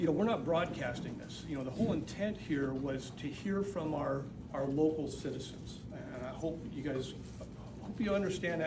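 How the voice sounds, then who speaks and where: With noticeable background noise around him, a man keeps a fairly quick pace and ordinary pitch variation. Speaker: town mayor. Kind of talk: welcome speech at public meeting. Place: meeting room. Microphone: camera far.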